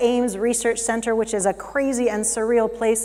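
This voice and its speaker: A woman with an American accent talks at a very fast pace. Noticeable background noise and audible room echo fill the recording. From United States. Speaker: keynote speaker. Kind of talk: conference keynote talk. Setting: stage in a theater with audience. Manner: animated.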